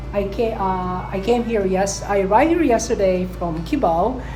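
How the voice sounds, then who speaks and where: Over noticeable background noise and audible room echo, a woman with a Filipino accent speaks at a moderate pace. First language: Tagalog. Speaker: travel vlogger. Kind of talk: bilingual travel vlog. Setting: hotel room. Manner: halting, many fillers and restarts.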